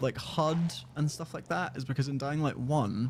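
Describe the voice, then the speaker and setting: In a Scottish accent, a man talks at a fairly quick pace with lively intonation, a fairly high pitch and a somewhat breathy quality. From Scotland. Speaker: gaming YouTuber. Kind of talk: live stream reaction commentary. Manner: casual, conversational.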